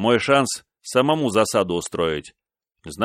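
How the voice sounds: A natural reading voice is heard with little background sound, in quiet surroundings.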